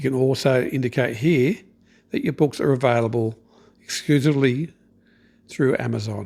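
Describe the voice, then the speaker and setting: A man of medium pitch with an Australian accent, moderate pace, ordinary pitch variation and long, frequent pauses. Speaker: online business coach. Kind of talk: tutorial. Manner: casual, conversational.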